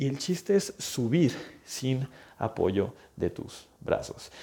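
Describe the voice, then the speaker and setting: A man's dark, mellow voice with vocal fry and very wide pitch swings, on a very clean recording with a silent background. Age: 20s. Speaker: physical therapist and health coach podcast host. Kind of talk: solo educational podcast monologue. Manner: conversational, with fillers and repetitions.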